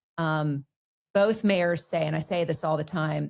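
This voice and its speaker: A woman's fairly low-pitched voice with vocal fry, at a moderate pace. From Kentucky. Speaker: civic organization leader. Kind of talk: interview.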